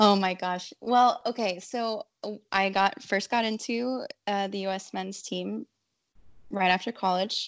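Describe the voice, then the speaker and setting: A woman talks in an unremarkable speaking voice with an American accent, medium pitch and fairly even intonation. Her pace is fairly slow, and the background is quiet. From Southern California (San Diego). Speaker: soccer video content creator. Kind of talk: casual chat.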